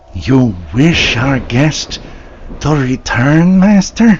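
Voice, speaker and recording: Putting on a character voice, a man speaks very slowly at a fairly high pitch with very wide pitch swings. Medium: audio drama. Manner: servile, eager, giggling.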